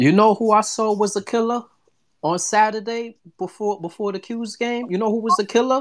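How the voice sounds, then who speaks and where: This man speaks with a New York accent. His voice is high-pitched. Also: ordinary pitch variation, moderate pace. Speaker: sports podcast host. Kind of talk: live call-in sports discussion. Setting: live online audio room. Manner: casual, hesitant with many fillers.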